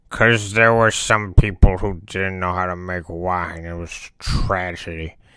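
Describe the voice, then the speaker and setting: This man uses a put-on character voice with a very deep, low pitch. He talks at a fairly slow pace. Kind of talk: comedic character monologue to camera. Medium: role play. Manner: casual, rambling.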